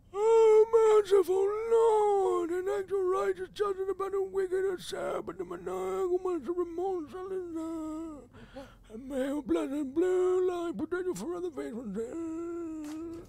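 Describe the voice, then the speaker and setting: An extremely high-pitched put-on character voice at a moderate pace. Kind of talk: archaic, grandiose. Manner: stressed, frantic, theatrical.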